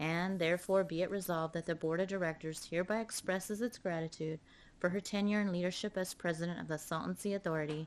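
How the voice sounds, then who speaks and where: A woman's fairly low voice at a very fast pace, intonation fairly even. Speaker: board chair. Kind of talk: reading aloud. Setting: public board meeting in chamber.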